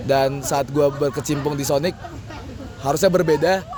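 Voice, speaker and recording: Over crowd noise in the background, a man talks at a very fast pace. His pitch is fairly high, with ordinary variation. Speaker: student mentor. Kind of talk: interview answers, casual. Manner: casual slang.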